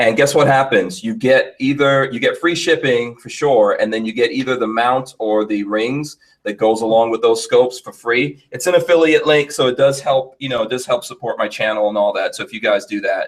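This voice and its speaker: Speaking fairly quickly with hardly any pauses, a man with an American accent has an ordinary speaking voice at a medium pitch. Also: ordinary pitch variation. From New York. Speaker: podcast host. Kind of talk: casual chat. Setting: studio.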